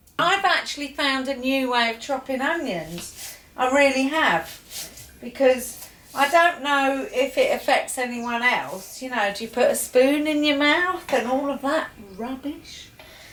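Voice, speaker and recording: A woman with an English accent speaks at a fairly slow pace in a high pitch with lively intonation. Noticeable background noise is present. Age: 50s. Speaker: home cooking show host. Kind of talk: casual cooking demonstration. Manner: quieter than usual.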